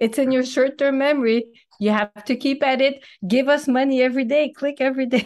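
Speaking with a French accent, a woman has a high pitch and very even loudness. Her pace is fairly quick, her intonation fairly even. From New Brunswick, Canada (French-speaking). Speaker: language teacher and content creator. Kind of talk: casual interview.

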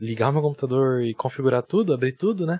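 This man's voice is fairly high in pitch. He talks at a very fast pace. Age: 20s. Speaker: streamer and civil engineer. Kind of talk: casual chat.

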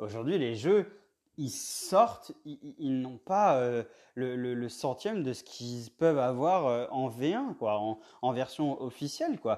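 A man talks at a medium pitch and a fairly slow pace. His intonation is lively. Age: 30s. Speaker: indie game developer and podcast host. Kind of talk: solo podcast monologue. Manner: halting, many fillers.

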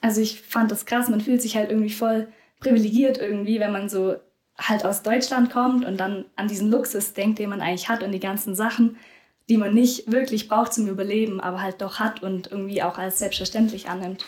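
Fairly quick in pace, a woman talks at a fairly high pitch. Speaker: volunteer after school. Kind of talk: casual interview.

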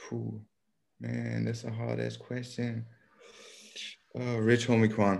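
A man talks at a very slow pace with a very deep, low pitch and very wide pitch swings. Long pauses come often. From Austria, Vienna. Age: 20s. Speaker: rapper. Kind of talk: casual interview.

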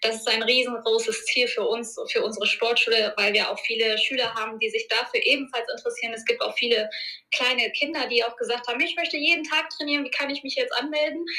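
A woman speaking at a very fast pace amid noticeable background noise. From Germany, Ruhr area (Duisburg). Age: 30s. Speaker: martial arts school owner. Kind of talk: interview.

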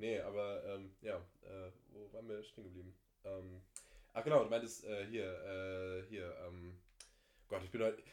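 A man with a fairly low pitch speaks at a fairly slow pace, leaving long, frequent pauses. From Germany, East Westphalia. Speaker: podcast guest. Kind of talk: casual chat.

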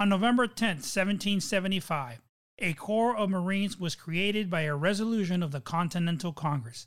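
A man speaks at a high pitch with lively intonation. The recording is very clean, with a silent background. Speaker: podcast host. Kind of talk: high-energy themed podcast opening, then scripted reading. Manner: loud, animated, drill-instructor bark; formal, measured reading.

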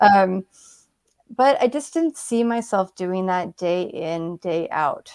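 A woman's medium-pitched voice with a West Coast accent, lively intonation, a very slow pace, and a dry, close sound with no echo. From Seattle, Washington, US. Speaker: brain injury survivor and author, former equine massage therapist. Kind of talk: interview conversation.

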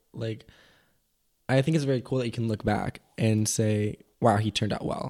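An unremarkable speaking voice with fairly even intonation at a moderate pace, in a very clean recording with a silent background. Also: man, medium pitch for a man. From Mexico, raised on a sailboat (American family). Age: 20s. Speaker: podcast guest. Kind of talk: casual chat. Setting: cafe over breakfast.

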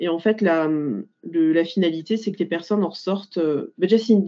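A woman talks at a moderate pace. Her pitch varies an ordinary amount. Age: 30s. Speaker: life coach, former logistics worker. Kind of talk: interview testimony. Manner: hesitant, many fillers.

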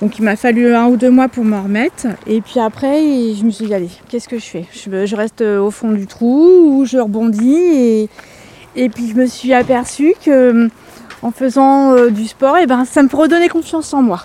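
Ordinary pitch variation and a fairly slow pace come through over noticeable background noise. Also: woman, high pitch for a woman. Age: 40s. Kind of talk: interview at home.

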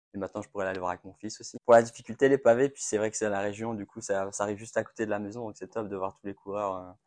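Speaking at a very fast pace, a man with a fairly low pitch keeps a flat monotone while his loudness swings widely, all on a very clean, dry, close recording with no echo and a silent background. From northern France, Roubaix. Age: 30s. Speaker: retail company employee, amateur cyclist. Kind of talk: interview. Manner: halting.

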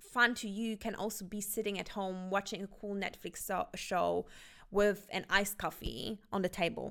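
Medium-pitched woman at a moderate pace with monotone, flat intonation, on a very clean recording with a silent background. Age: 20s. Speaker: self-help podcaster. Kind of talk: motivational monologue. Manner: casual with filler words.

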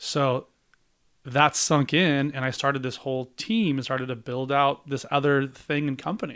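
A man's normal speaking voice, fairly high in pitch, with fairly even intonation at a moderate pace, on a very clean recording with a silent background. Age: 40s. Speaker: real estate agent and investor. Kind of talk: casual interview chat.

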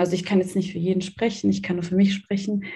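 Medium in pitch, this woman sounds somewhat breathy, with a dark, mellow tone. Her intonation is monotone and flat, and the room echo is audible. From Germany. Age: 20s. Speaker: student talking about her faith. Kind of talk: interview.

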